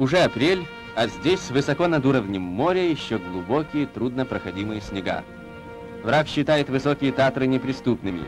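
A man's lively intonation and moderate pace carry over music in the background. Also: medium pitch for a man. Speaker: newsreel narrator. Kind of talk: newsreel narration.

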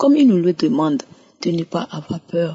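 A woman speaks with a fairly low pitch and a somewhat breathy voice. Her pace is moderate. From Togo. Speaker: testimony giver. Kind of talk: testimony.

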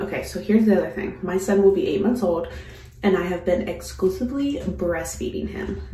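Room echo can be heard around the voice of a woman as she talks. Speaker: mom vlogger. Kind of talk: casual vlog chat. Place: home room.

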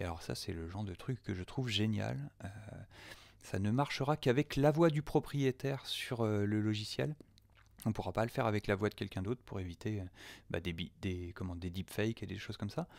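With lively intonation and a fairly low pitch, a man talks at a fairly quick pace with long, frequent pauses, in a very clean recording with a silent background. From France. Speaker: audio producer. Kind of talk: software tutorial. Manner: hesitant, many fillers.

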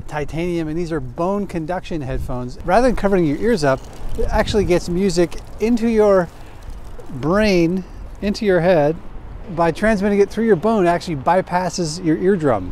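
A man speaks at a high pitch and a moderate pace, with ordinary pitch variation. The sound is dry with no echo, over light background noise. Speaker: cycling video host. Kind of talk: product review talk. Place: street.

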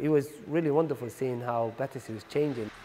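This is a man talking. He has a Somali accent. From Somalia. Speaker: community organisation founder. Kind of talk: oral history interview answer. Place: home room.

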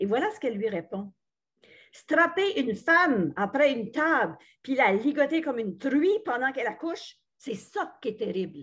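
Pitch swings very widely against a quiet background. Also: woman. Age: 60s. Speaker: retired radio journalist. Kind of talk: book club discussion. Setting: video call. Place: home room. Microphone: webcam.

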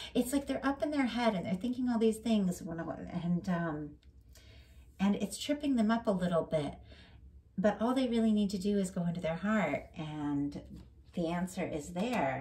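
Her voice is somewhat breathy with a dark, mellow tone, as this woman talks at a moderate pace and medium pitch with lively intonation. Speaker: tarot reader. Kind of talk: tarot reading monologue. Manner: rambling, self-correcting.

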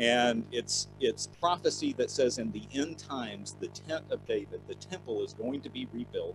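A man talks at an even, moderate speed while music plays behind him. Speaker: bible teacher. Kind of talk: lecture.

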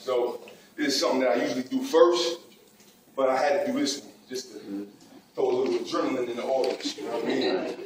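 Fairly quick speech broken by long, frequent pauses, with audible room echo and noticeable background noise. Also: man, big swings in loudness. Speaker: spoken word poet. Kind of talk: casual talk to a live audience. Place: hall. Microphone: camera far.

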